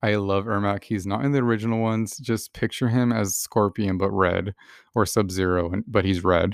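A man talks at a moderate pace with a fairly low pitch and an animated tone, recorded dry and close with no echo and a quiet background. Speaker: solo podcaster, gamer. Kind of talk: casual monologue. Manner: animated, frequent laughter.

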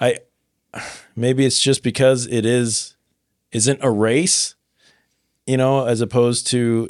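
A man speaks at a medium pitch with a Midwestern American accent. The recording is very clean, with a silent background. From Nebraska. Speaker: podcast host. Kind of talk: casual chat.

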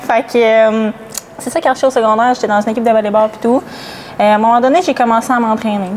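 Over noticeable background noise, a woman talks at a very fast pace with a fairly high pitch and fairly even intonation. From Gaspésie, Quebec. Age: 20s. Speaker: bodybuilding athlete. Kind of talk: podcast interview.

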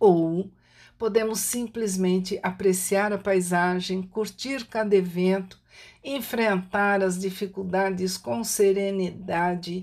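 A woman's medium-pitched voice at a very slow pace, with fairly even intonation, on a very clean recording with a silent background. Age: 60s. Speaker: writer and holistic therapist. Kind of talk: reflective monologue.

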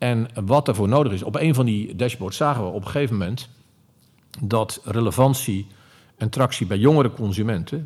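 In a very clean recording with a silent background, a man uses a normal speaking voice at a medium pitch and moderate pace with ordinary pitch variation. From Netherlands, Zeeland. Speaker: retail executive. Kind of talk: interview. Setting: company head office.

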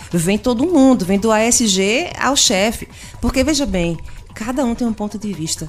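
Music plays in the background. The speech moves at a moderate pace with lively intonation. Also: woman. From Pernambuco, Brazil (Agreste). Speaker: customer service consultant and speaker. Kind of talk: radio interview. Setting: studio.

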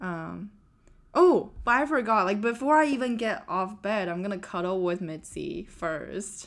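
Intonation lively and pace fairly slow, an unremarkable speaking voice carries on. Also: woman, medium pitch for a woman. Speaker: software engineer and podcast host. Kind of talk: casual chat.

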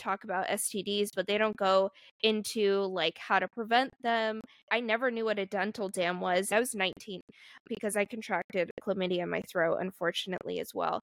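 A woman's ordinary speaking voice at medium pitch, fairly quick and fairly even in intonation, with a dry, close sound, no echo, and a very clean recording over a silent background. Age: 20s. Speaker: podcast host. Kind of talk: casual chat.

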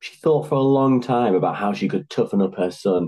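The passage is read aloud in a natural voice.

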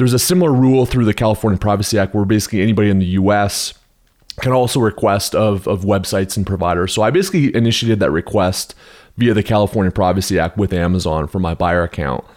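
The speech runs at a very fast pace with very even loudness and ordinary pitch variation. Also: man, fairly low pitch for a man. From Canada. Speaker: Amazon advertising seller/consultant. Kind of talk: podcast interview. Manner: casual, with frequent fillers.

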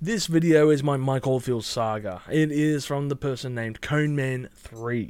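An Australian-accented man with ordinary pitch variation in a very clean recording with a silent background. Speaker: YouTube music reviewer. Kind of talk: casual monologue responding to comments.

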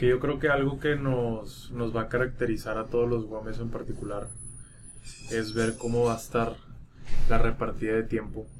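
In a room with audible echo, a man talks at a moderate pace with monotone, flat intonation. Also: medium pitch for a man. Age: 20s. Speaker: podcast co-host. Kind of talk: casual chat.

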